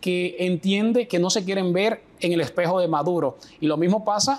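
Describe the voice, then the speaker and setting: This man talks at a fairly slow pace in a high pitch, with ordinary pitch variation. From Dominican Republic. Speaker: political strategist and professor. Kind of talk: interview answer.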